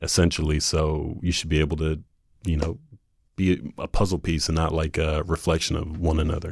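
With an American accent, the speaker moves at a fairly quick pace in a monotone, flat intonation. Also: man, very deep, low pitch for a man. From North Carolina, Jacksonville. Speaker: dating show contestant. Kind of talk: casual chat.

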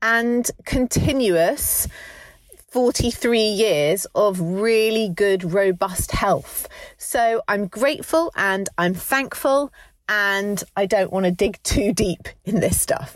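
Her loudness very even, a woman speaks at a very slow pace in a fairly high pitch with ordinary pitch variation. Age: 40s. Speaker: podcast co-host. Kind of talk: casual chat.

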